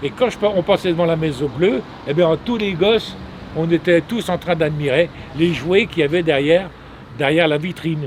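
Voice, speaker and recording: A man speaks in a high pitch. His intonation has ordinary pitch variation. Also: moderate pace. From Normandy, Manche (France). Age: 70s. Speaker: artisan biscuit maker. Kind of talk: interview storytelling. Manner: halting, many repetitions; animated.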